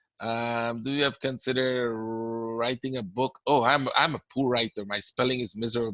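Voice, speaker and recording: A man with a Caribbean accent speaks in a bright, sharp tone and fairly even intonation, the sound dry and close with no echo. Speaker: forex trading educator. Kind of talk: webinar Q&A. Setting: online webinar. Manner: casual, conversational.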